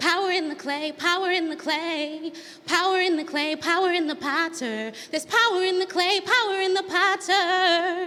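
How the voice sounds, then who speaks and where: Over noticeable background noise, a woman projects a raised voice at an extremely high pitch, with ordinary pitch variation and a moderate pace. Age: 30s. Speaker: spoken word artist. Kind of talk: spoken word poetry performance.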